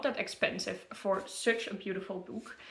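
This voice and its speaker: A woman speaks at a medium pitch with a Dutch accent. Her tone is bright and sharp, with ordinary pitch variation. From Netherlands. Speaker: book content creator. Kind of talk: casual product review. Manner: halting, many fillers.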